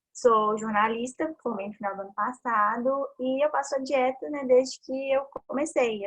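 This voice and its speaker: The speaker has an ordinary speaking voice with ordinary pitch variation. The pace is fairly slow. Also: woman. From Brazil. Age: 20s. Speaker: patient, journalist. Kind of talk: personal testimony.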